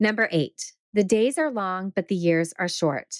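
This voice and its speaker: A woman's pitch varies in an ordinary way on a very clean recording with a silent background. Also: dry, close sound with no echo. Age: 50s. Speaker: life coach and podcast host. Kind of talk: solo podcast monologue.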